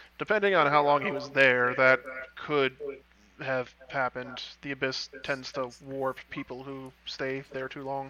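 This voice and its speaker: This man uses a put-on character voice. His pitch sits in the medium range. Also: moderate pace. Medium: actual play.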